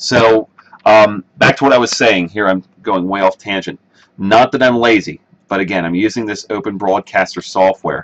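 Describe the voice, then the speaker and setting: A man speaks at a fairly low pitch and a moderate pace with ordinary pitch variation. The sound is dry and close, with no echo. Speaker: live streamer, video editor. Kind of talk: casual live stream commentary. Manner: hesitant, many fillers.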